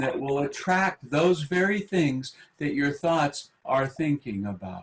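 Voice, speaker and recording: A man with a somewhat breathy, fairly high voice talks fairly slowly, his intonation lively. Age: 60s. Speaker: meditation teacher. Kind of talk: panel talk. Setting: webinar.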